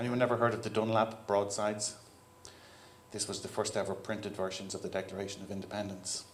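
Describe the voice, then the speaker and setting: A man with an Irish accent talks at a very fast pace in a fairly low, monotone, flat voice, with audible room echo and noticeable background noise. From Ireland. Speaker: keynote speaker, software CTO. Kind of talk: conference keynote talk. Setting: stage with audience. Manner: casual, conversational.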